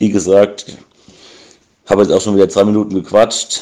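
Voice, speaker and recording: Here a man speaks at a fairly low pitch with a dark, mellow tone. His intonation stays monotone and flat. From Bavaria, near Aschaffenburg. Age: 20s. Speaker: listener. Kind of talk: voice message.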